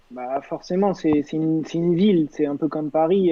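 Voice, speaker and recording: A man with a plain, everyday voice, fairly high in pitch, at a fairly slow pace with fairly even intonation. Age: 20s. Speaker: dating show contestant. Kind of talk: casual chat.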